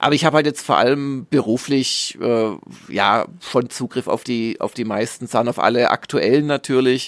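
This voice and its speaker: The sound is dry and close with no echo as a man speaks at a medium pitch and a moderate pace, his intonation fairly even. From southern Germany (Swabia). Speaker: games journalist and magazine publisher. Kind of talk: casual interview.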